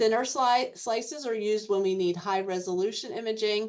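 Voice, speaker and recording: A woman uses a normal speaking voice at a moderate pace, with ordinary pitch variation. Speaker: MRI educator, radiography professor. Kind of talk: webinar lecture. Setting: online webinar.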